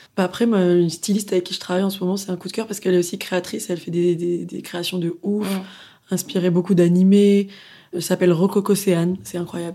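On a very clean recording with a silent background, a woman with a dark, mellow tone talks at a medium pitch and a fairly quick pace in monotone, flat intonation. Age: 20s. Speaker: singer. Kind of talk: casual chat.

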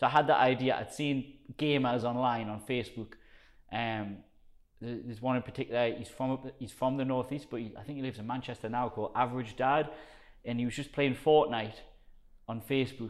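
A man with a strong Geordie accent talks at a fairly quick pace and a medium pitch. The recording is very clean, the background silent. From northern England, South Shields. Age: 30s. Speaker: personal trainer. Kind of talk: casual chat. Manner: energetic.

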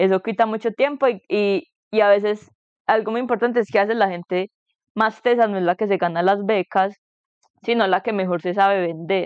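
A woman talks at a moderate pace with fairly even intonation. Her pitch sits in the medium range. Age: 20s. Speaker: master's student, biomedical engineer. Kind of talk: casual chat.

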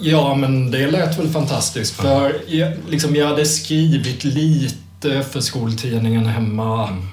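A man with a fairly high pitch and ordinary pitch variation speaks at a fairly slow pace with hardly any pauses, amid noticeable background noise and audible room echo. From Sweden, Kalmar. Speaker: music journalist. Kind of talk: casual chat.

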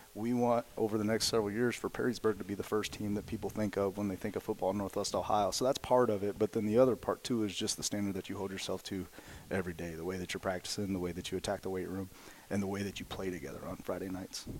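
Here a man talks at a very fast pace with an American accent. His pitch is fairly low. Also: fairly even intonation. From southwestern Indiana, near Evansville. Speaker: high school football coach and math teacher. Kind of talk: casual interview.

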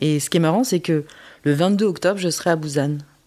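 Woman's fairly low, dark, mellow voice at a moderate pace with ordinary pitch variation. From France (adopted from South Korea before age 3). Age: 40s. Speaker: adoptee sharing her story. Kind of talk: testimony. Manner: halting.

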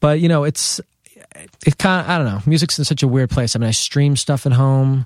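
A man with an American accent speaks in an unremarkable speaking voice at a fairly quick pace with ordinary pitch variation, on a very clean recording with a silent background. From New York City, Lower Manhattan. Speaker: drummer. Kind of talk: casual chat.

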